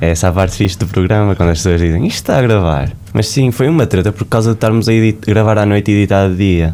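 Over noticeable background noise, a man talks at a very fast pace with ordinary pitch variation and very even loudness. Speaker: podcast host. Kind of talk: casual interview chat. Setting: studio.

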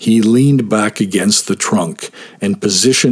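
Ordinary pitch variation runs through the speech. It is a natural reading voice.

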